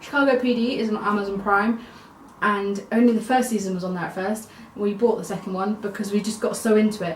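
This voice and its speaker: Amid audible room echo and noticeable background noise, a woman talks very fast at a medium pitch with fairly even intonation. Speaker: vlogger. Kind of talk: casual vlog monologue.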